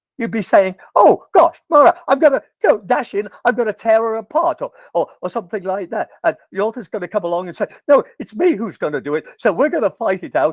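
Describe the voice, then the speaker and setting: A man speaks at a fairly quick pace, with hardly any pauses, in a high pitch and an animated tone. His pitch swings very widely, and the sound is dry and close with no echo. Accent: English. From England. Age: 80s+. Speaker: professor. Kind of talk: lecture.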